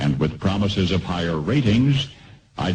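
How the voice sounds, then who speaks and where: A man speaks in an American accent at a fairly slow pace. His pitch is very deep and low. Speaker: radio commentator. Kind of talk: radio commentary.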